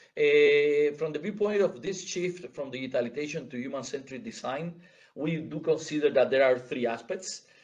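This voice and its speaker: Audible room echo surrounds a man talking at a fairly high pitch and moderate pace with ordinary pitch variation. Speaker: conference speaker. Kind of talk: conference presentation. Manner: halting, many repetitions and fillers.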